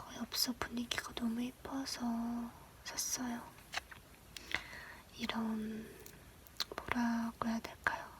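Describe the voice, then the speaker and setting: Whispering at a very slow pace, with long, frequent pauses, against noticeable background noise. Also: woman. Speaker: ASMR creator. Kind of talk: casual chatty talk to camera. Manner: soft, whispery, chatty.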